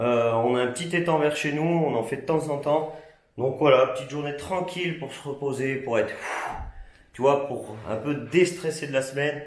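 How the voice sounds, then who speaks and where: Spoken at a moderate pace with fairly even intonation, the clip has audible room echo and noticeable background noise. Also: man, fairly high pitch for a man. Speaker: motorcycle vlogger and parts seller. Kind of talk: casual vlog.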